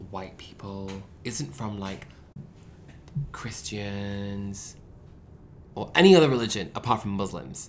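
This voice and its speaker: A man speaks at a fairly slow pace with very wide pitch swings. Audible room echo surrounds his voice. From Manchester, England. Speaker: podcast co-host. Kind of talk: casual chat. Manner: animated.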